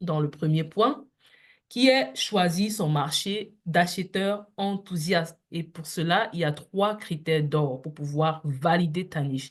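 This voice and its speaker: Somewhat breathy and fairly low-pitched, a woman talks at a very slow pace with ordinary pitch variation against a quiet background. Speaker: online business coach. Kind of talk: live online coaching session.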